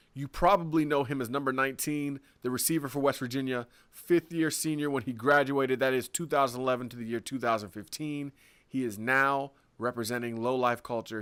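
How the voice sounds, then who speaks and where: Talking at a fairly quick pace, a man with an unremarkable speaking voice has a medium pitch and ordinary pitch variation, recorded very cleanly against a silent background. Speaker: podcast host. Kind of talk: podcast interview host.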